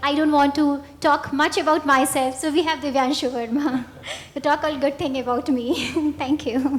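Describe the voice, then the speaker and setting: A high-pitched woman's voice at a moderate pace with fairly even intonation, over noticeable background noise. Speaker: event organizer. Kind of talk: presentation.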